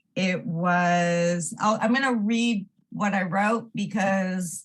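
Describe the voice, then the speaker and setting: The speaker is a woman. Somewhat breathy is how her voice sounds. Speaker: member of the public giving comment. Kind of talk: public comment at council meeting; reading aloud a prepared statement. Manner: halting, stumbling.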